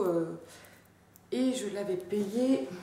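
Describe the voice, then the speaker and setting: Amid noticeable background noise, a woman speaks at a very slow pace with very wide pitch swings. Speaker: fashion haul vlogger. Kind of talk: casual talk to camera. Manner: chatty, enthusiastic.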